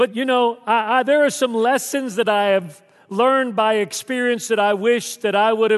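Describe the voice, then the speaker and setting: A high-pitched man with a Southern US accent, ordinary pitch variation and a moderate pace. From Texas. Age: 60s. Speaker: pastor. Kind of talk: sermon. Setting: church.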